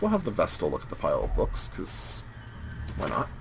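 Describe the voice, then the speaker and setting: Music plays behind the speech. A man talks at a moderate pace. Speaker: let's play gamer. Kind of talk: gameplay commentary.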